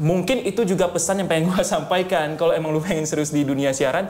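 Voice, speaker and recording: Very fast speech with noticeable background noise and audible room echo. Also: man. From North Sumatra, Pematang Siantar. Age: young. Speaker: radio announcer and content creator. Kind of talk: casual chat.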